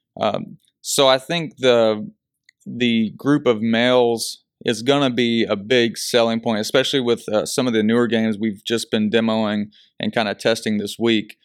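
A man with a medium pitch talks at a moderate pace with fairly even intonation in an unremarkable speaking voice, on a very clean recording with a silent background. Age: 30s. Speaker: business owner. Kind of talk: interview.

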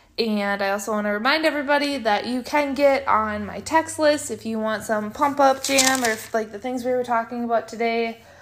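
Against noticeable background noise, a woman talks at a fairly high pitch and fairly quick pace with hardly any pauses. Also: ordinary pitch variation. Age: 20s. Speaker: podcast host. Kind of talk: casual solo monologue. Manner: animated, high-energy.

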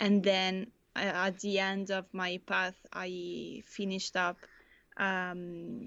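The speaker is a woman with a medium pitch. Her delivery stays monotone and flat. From Italy. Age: 20s. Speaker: university student. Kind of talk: interview. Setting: video call. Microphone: remote line, may be hard to hear.

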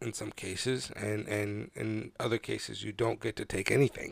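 There is vocal fry as a man talks at a moderate pace in a fairly low pitch. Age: 30s. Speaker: podcast host. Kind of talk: solo monologue. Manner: halting, many fillers.

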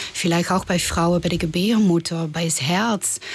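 At medium pitch and with ordinary pitch variation, a woman talks with a Dutch accent. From Netherlands. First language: Dutch (speaking German). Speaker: tantra masseuse. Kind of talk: interview. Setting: studio.

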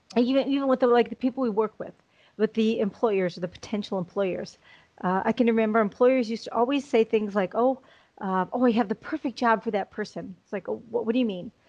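Speaking very fast with a Chicago accent, a woman uses a fairly high pitch and fairly even intonation in a dry, close recording with no echo. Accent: American, Chicago. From US Midwest, Chicago. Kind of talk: interview.

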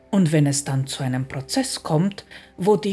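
Her tone is dark and mellow, and this woman sounds somewhat breathy with lively intonation. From outside Austria. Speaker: podcast host and personal development coach. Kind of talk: scripted monologue.

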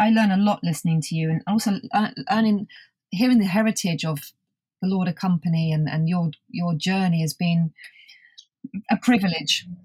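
A somewhat breathy woman in a British accent at a medium pitch and moderate pace, with ordinary pitch variation, long, frequent pauses and a dry, close sound with no echo. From UK. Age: 50s. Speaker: podcast host and magazine founder. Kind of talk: interview.

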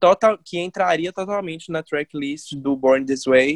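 A woman speaks with a very deep, low pitch and fairly even intonation at a fairly slow pace. The sound is dry and close, with no echo. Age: 20s. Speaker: journalism student. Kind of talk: casual chat.

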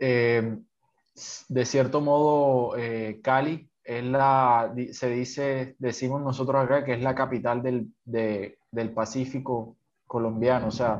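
A man's medium-pitched voice, very slow and fairly even, in a quiet background. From Colombian Caribbean coast (Sincelejo). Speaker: Colombian citizen commentator. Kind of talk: conversational interview. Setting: call.

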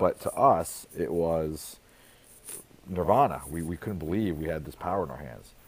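Very deep and low, this man's voice carries vocal fry, lively intonation and big swings in loudness at a moderate pace. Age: 40s. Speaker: school leader and author. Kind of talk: interview.

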